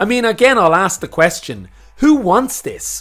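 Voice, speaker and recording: Male speech at a moderate pace, with very wide pitch swings. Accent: Irish. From Ireland. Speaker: music commentator, YouTuber. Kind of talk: video essay / opinion commentary.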